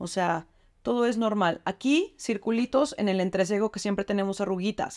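A woman speaks in an ordinary speaking voice at a medium pitch and moderate pace. Her pitch variation is ordinary, and the background is quiet. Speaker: beauty product demonstrator. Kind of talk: tutorial. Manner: casual, chatty. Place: bathroom. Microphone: phone near.

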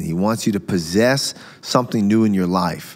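A man's ordinary speaking voice, fairly low in pitch, with ordinary pitch variation at a fairly slow pace. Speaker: preacher and show host. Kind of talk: religious interview discussion. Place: studio. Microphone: studio mic.

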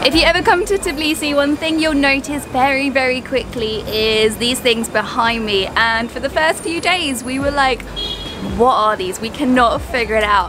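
A woman's high-pitched voice with lively intonation at a moderate pace, over noticeable background noise. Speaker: travel vlogger. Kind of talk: casual vlog chat. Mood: cheerful, curious. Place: street. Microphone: phone near.

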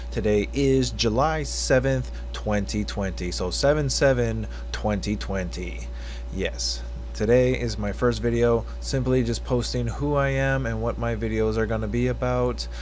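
Speaking at a fairly slow pace, a man uses a flat monotone in a very deep, low voice. Light background noise can be heard. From Hawaii, USA. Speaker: YouTube reaction video creator. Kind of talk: casual talk to camera. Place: home room. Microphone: webcam.

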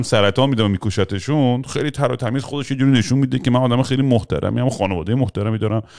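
Against a quiet background, a man talks at a very fast pace with a medium pitch and ordinary pitch variation. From US, moved to Iran at age 10. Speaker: podcast guest. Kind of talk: casual chat. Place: studio. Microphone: studio mic.

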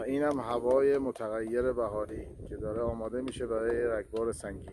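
Delivered at a fairly quick pace in a monotone, flat intonation, the speech has a dry sound with no echo and noticeable background noise. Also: man. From Hamedan, Iran. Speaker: nature vlogger. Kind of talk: casual outdoor vlog talk. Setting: outdoors. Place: open country. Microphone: phone near.

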